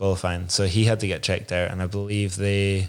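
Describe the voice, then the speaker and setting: On a very clean recording with a silent background, a man speaks in a Scottish Highland accent. His fairly low voice moves at a moderate pace in a monotone, flat intonation. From Inverness, Scotland. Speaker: downhill mountain bike racer. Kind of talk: casual interview chat. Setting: studio.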